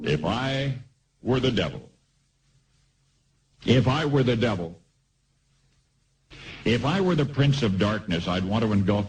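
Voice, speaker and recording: A man talks at a moderate pace with an American accent. His intonation is lively. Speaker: radio commentator. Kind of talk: radio commentary.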